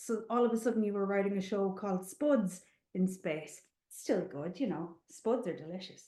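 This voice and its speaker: In an Irish accent, a woman with a dark, mellow tone speaks at a moderate pace with lively intonation. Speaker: animation screenwriter. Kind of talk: webinar presentation. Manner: animated.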